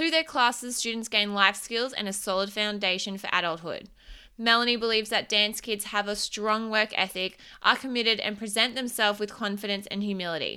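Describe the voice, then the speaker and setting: In a very clean recording with a silent background, a woman with an Australian accent speaks in a bright, sharp tone at a fairly high pitch with ordinary pitch variation. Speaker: podcast host and business coach. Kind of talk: interview.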